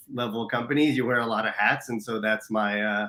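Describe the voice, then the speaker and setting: With a slight US East Coast accent, a man speaks at a medium pitch with fairly even intonation. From US East Coast, New Jersey or Philadelphia area. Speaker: business mentor, operations and marketing leader. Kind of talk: casual interview. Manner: passionate, many fillers.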